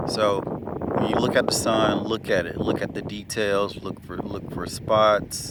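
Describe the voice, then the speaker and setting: A man with a fairly low voice talks at a fairly slow pace over noticeable background noise. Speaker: wellness vlogger. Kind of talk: casual vlog talk. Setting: outdoors in the sun. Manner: hesitant, many fillers and restarts.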